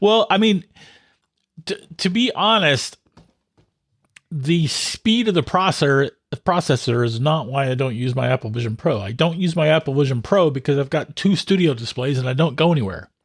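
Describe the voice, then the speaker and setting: A somewhat breathy man at a fairly high pitch, moderate pace and lively intonation, in a dry, close sound with no echo. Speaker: tech podcast co-host. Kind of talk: casual chat.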